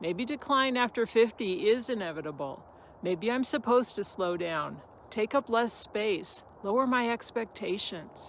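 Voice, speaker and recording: A woman uses a normal speaking voice at a fairly slow pace. Her intonation is lively. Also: fairly high pitch for a woman. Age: 60s. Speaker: fitness storyteller, Ironman finisher. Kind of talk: personal testimony monologue. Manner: earnest, motivational.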